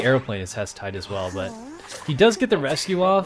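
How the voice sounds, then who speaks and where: A man speaks at medium pitch with very wide pitch swings. Noticeable background noise is present. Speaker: tournament host and game commentator. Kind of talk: live commentary.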